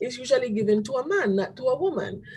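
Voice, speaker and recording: Somewhat breathy, a woman's voice proceeds at a moderate pace. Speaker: presenter at church webinar. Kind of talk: presentation with slides. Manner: halting, repeats words.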